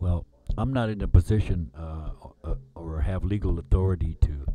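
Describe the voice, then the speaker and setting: With an American accent, the speaker uses lively intonation at a moderate pace. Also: man. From Lakota, US Great Plains. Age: 70s. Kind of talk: spoken-word performance over music.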